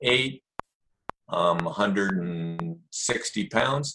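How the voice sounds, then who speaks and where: His pitch rises and falls very widely. The man has an American accent and vocal fry. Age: 60s. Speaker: jiu-jitsu practitioner and author.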